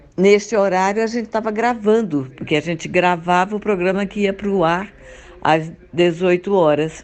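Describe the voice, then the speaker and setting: A woman has an unremarkable speaking voice, set at a fairly low pitch with ordinary pitch variation. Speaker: actress and voice actress. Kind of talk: interview answer.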